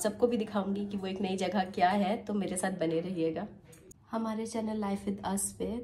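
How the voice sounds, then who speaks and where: A woman's medium-pitched voice at a moderate pace, monotone and flat, with noticeable background noise. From Lucknow, Uttar Pradesh, India. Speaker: vlogger. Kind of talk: vlog narration.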